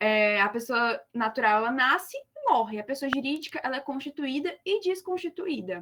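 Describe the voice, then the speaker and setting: Very wide pitch swings at a moderate pace, with hardly any pauses. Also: woman, high pitch for a woman. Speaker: law student tutor. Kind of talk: lecture.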